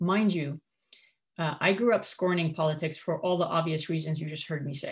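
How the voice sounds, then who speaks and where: A woman's somewhat breathy, fairly low voice with fairly even intonation and a fairly quick pace. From Kuwait, Syrian parents. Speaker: former radio host and coach. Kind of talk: personal testimony.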